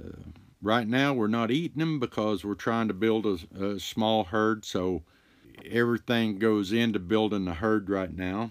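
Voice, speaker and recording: A man speaks at a fairly slow pace in a fairly low voice with ordinary pitch variation. The recording is very clean, with a silent background. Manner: casual, halting with filler words.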